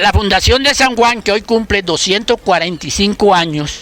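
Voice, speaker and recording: Over noticeable background noise, a man with a high pitch talks at a fairly slow pace, with ordinary pitch variation. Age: 70s. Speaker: school founder and local historian. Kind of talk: community talk.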